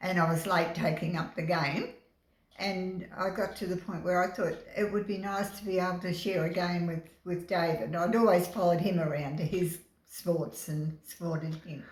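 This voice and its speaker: A woman with an Australian accent speaks at a moderate pace, somewhat breathy and fairly low in pitch. Her intonation is fairly even, and there is audible room echo. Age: 80s+. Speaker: bowls club life member. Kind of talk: interview. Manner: halting.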